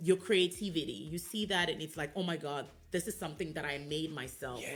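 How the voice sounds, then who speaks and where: Over music in the background, a woman with a West African accent and a very deep, low voice speaks fairly quickly with ordinary pitch variation. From Sierra Leone. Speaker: business owner, designer. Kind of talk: radio interview.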